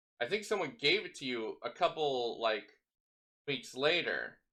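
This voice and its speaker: Bright and sharp in tone, a man's voice swings very widely in pitch. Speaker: podcast host and streamer. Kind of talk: casual chat.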